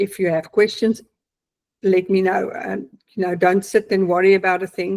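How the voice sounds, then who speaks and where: This woman speaks in a South African accent at a medium pitch. Her intonation is monotone and flat. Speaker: client giving testimonial, accountant. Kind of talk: testimony. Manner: hesitant, many fillers.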